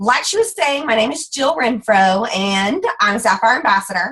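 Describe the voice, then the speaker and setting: Lively intonation and an animated tone with a Texas accent. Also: woman. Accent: Southern US (Texas). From US South. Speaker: direct sales ambassador. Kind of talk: motivational talk on a team call. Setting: group conference call. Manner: fast.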